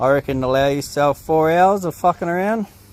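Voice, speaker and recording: Lively intonation from a man with an Australian accent at a fairly slow pace. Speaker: DIY mechanic, fitter and marine engineer. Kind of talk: tutorial. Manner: casual, hesitant with many fillers.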